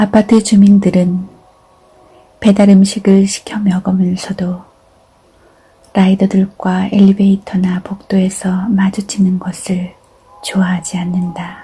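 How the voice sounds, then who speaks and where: Over noticeable background noise, a woman with a medium-pitched voice talks very slowly in a flat monotone, leaving long, frequent pauses. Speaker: reader of essays and poems. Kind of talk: literary essay reading, calm narration.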